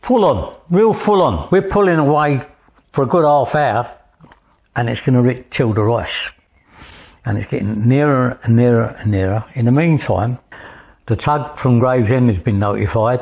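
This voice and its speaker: This man's voice is somewhat breathy, with lively intonation and an East London accent. He leaves long, frequent pauses against a quiet background. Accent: East London (Cockney). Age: 80s+. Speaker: Thames lighterman and tug captain. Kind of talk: interview storytelling. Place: home room. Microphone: lapel.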